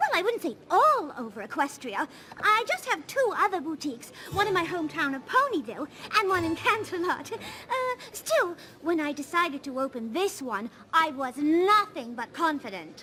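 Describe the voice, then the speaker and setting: A female-sounding cartoonish character voice at an extremely high pitch, moderate pace, over clear background noise. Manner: posh, theatrical.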